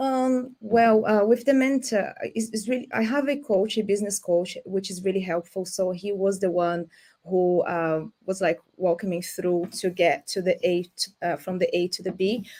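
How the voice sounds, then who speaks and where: A woman's dark, mellow tone at a moderate pace, with hardly any pauses and ordinary pitch variation. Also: medium pitch for a woman. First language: not English. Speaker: cleaning business owner. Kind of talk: panel discussion.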